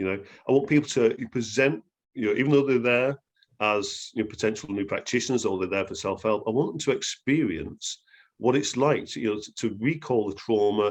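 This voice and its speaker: A man with an English accent against a quiet background. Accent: English accent, noticeable. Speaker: therapy trainer. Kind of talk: interview. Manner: hesitant, many fillers.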